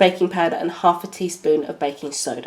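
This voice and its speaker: A woman with a British accent at a moderate pace. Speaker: baking tutorial host. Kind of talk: tutorial.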